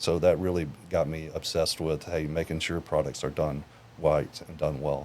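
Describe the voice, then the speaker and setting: In an American accent, a man talks at a moderate pace with a very deep, low pitch, vocal fry and monotone, flat intonation. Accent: Southern US, sometimes stronger. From Tennessee. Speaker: sales engineer. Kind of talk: podcast interview.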